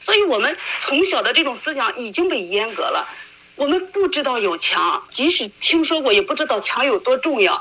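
Over noticeable background noise, a woman with a high pitch speaks at a moderate pace in a raised, projected voice with very wide pitch swings. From mainland China. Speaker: former human rights lawyer, activist. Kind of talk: interview.

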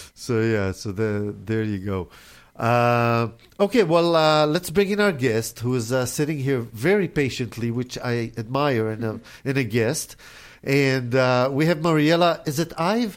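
A man with an Israeli accent at medium pitch, fairly slow in pace, on a very clean recording with a silent background. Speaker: radio host. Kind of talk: casual radio interview. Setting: radio studio.

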